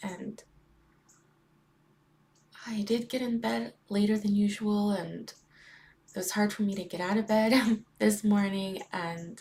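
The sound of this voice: A woman's raspy, put-on character voice at medium pitch, with monotone, flat intonation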